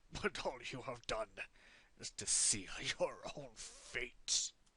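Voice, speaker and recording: A raspy put-on character voice from a man, medium in pitch, with lively intonation at a very slow pace. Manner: defiant, menacing.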